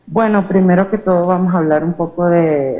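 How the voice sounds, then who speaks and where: Her tone dark and mellow, a woman speaks with fairly even intonation amid audible room echo. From Venezuela. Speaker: academic conference speaker. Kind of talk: conference presentation. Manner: hesitant, many filler sounds.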